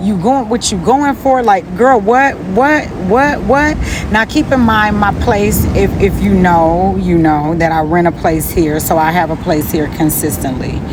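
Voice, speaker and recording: Fairly slow speech with very wide pitch swings and very even loudness, plus noticeable background noise and audible room echo. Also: woman, medium pitch for a woman. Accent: American. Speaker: spiritual vlogger. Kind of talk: casual motivational talk. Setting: outdoors by the sea. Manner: animated.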